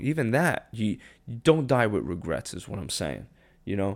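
In a very clean recording with a silent background, a man with vocal fry talks at a moderate pace at medium pitch, making very wide pitch swings. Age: 30s. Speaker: podcast host. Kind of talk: solo anniversary monologue. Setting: home kitchen, solo mic. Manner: low-key.

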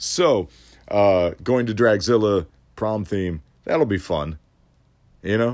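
Recorded very cleanly against a silent background, a man with a fairly low pitch speaks at a very slow pace, with lively intonation and long, frequent pauses. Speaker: solo podcast host. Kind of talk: casual monologue. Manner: many fillers and hesitations.

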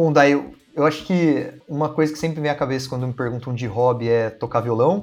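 Man with medium pitch and fairly even intonation at a fairly quick pace, music in the background. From Brazil, Campinas (São Paulo state). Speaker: scientist, researcher and science communicator. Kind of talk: casual interview.

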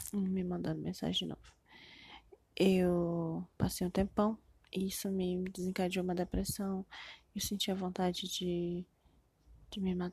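A woman with a Brazilian accent speaks at a fairly slow pace, leaving long, frequent pauses. Her medium-pitched voice is somewhat breathy and monotone, flat in intonation. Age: 20s. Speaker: podcaster. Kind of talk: personal monologue, confessional. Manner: halting, with many fillers.

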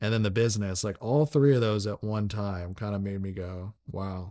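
With an American accent and a dark, mellow tone, a man speaks at a fairly low pitch and a moderate pace with fairly even intonation, in a dry, close sound with no echo on a very clean recording with a silent background. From US South, Franklin, Tennessee. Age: 30s. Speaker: entrepreneur, company founder. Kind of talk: casual interview chat. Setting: host's living room.

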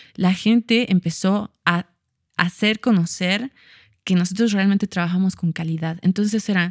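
In a very clean recording with a silent background, a woman speaks at a fairly slow pace at medium pitch in a normal speaking voice. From Bolivia, Cochabamba. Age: 30s. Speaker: fashion designer. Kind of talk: casual chat.

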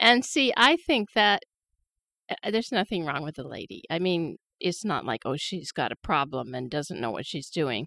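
A woman speaks at a moderate pace and fairly low pitch, with a bright, sharp tone, vocal fry and very wide pitch swings. The sound is dry and close with no echo, on a very clean recording with a silent background. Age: 70s. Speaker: podcast co-host. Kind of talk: casual chat.

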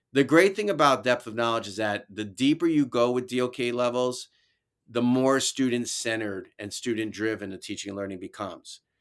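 A man with a New York accent speaks at a fairly quick pace and medium pitch, with ordinary pitch variation and big swings in loudness. The recording is very clean with a silent background. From New York (Brooklyn, then upstate Albany). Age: 50s. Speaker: educator and author. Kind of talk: casual interview.

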